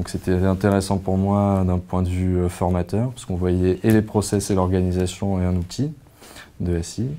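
A man with a very deep, low pitch and a dark, mellow tone talks at a fairly slow pace with fairly even intonation. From Provence, southern France. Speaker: former master's student. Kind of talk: testimonial interview. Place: office. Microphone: lapel.

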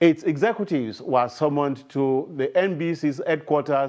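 A man's voice comes through with a quiet background. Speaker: news anchor. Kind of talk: news reading. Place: studio. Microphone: lapel.

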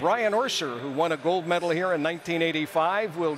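A man's high-pitched voice with ordinary pitch variation, in a dry sound with no echo over light background noise. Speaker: TV sports host. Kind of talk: broadcast anchor presentation. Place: stadium. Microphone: lapel.

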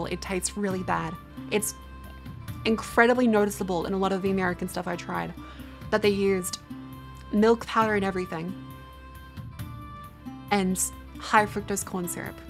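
Clear music sits in the background as the speaker moves at a moderate pace, with long, frequent pauses. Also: woman. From Australia. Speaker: live streamer. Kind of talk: casual conversation. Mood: mildly disgusted, opinionated.

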